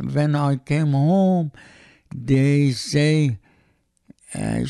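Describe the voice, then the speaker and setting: The man's tone is dark and mellow. He speaks at a very slow pace. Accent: Iranian. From Iran. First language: Persian. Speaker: host's father. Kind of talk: casual family interview. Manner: halting, broken English.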